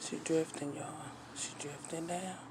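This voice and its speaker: Noticeable background noise runs under the speech. The delivery is fairly slow, with monotone, flat intonation. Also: woman. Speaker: vlogger. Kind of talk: casual vlog chat. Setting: in a car. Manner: whispering.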